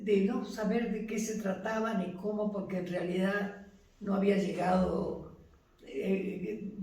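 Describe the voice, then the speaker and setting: Noticeable background noise sits behind a woman speaking at a very slow pace. Her pitch is medium and her intonation fairly even. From Buenos Aires. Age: 80s+. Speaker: retired teacher, mother of fallen naval officer. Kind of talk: interview answer.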